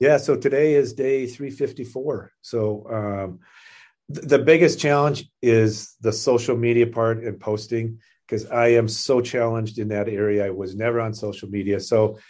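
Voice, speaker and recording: An ordinary speaking voice at a moderate pace, with fairly even intonation, against a quiet background. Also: man, medium pitch for a man. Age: 60s. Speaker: podcast guest, charity fundraiser. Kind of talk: casual interview.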